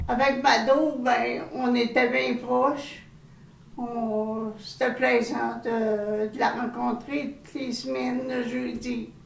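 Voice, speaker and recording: Speaking at a very slow pace, a woman with a high pitch keeps a monotone, flat intonation while her loudness swings widely, with audible room echo and noticeable background noise. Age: 70s. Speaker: home care client. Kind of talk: interview testimony.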